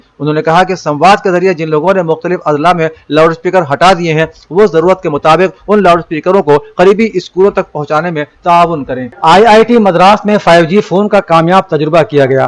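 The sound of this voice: Speaking at a fairly quick pace with few pauses, a man uses a fairly high pitch and ordinary pitch variation.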